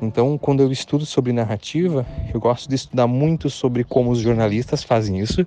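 Speaking at a fairly quick pace, a man uses a medium pitch, ordinary pitch variation and very even loudness. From Santa Catarina interior, Brazil. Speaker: wedding photographer. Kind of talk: interview. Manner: halting.

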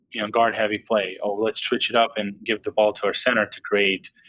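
With a Serbian accent, a man speaks at a fairly quick pace in a dry, close sound with no echo. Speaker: basketball podcaster. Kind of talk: casual chat.

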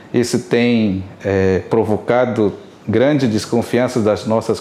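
Noticeable background noise sits behind a man at medium pitch who speaks at a very slow pace with ordinary pitch variation. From Rio Isana, Amazonas, Brazil. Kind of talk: interview.

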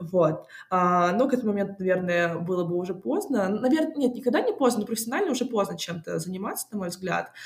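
A woman with a medium pitch races along at a very fast pace over noticeable background noise. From Moscow, Russia. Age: 20s. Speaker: music industry PR specialist. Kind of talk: interview. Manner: casual; hesitant.

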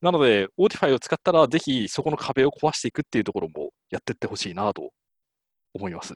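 Very fast and full of vocal fry, a man's voice swings widely in both pitch and loudness, recorded dry and close with no echo. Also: medium pitch for a man. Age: 30s. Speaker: test engineer. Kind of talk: casual chat.

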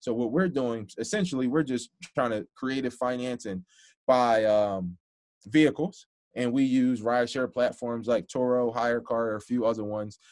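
Over a quiet background, a man at medium pitch speaks at a moderate pace with ordinary pitch variation. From Philadelphia, US. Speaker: financial literacy entrepreneur. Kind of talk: casual interview. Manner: animated, filler-heavy.

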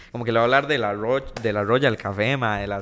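A man speaks with a Costa Rican accent. His pitch is medium and his intonation fairly even. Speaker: TikTok content creator. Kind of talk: casual chat.

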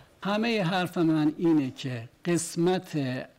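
A fairly high-pitched man against noticeable background noise. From Iran. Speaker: defendant. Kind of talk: court testimony. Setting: courtroom.

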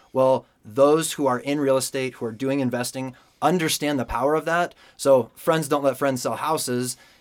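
Speaking at a moderate pace with an American accent, a man has an unremarkable speaking voice, a fairly high pitch and fairly even intonation. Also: very clean recording, silent background. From Denver, Colorado. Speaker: senior loan officer. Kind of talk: casual interview.

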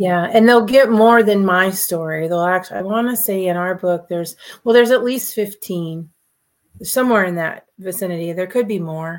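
A woman has an unremarkable speaking voice at a medium pitch, moving at a moderate pace with ordinary pitch variation. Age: 50s. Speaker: real estate entrepreneur and author. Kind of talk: casual interview chat.

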